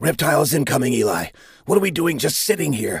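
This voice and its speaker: Raspy and shrill, a man's put-on character voice races at a very fast pace in a fairly high pitch with lively intonation. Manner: smug, snide, teasing.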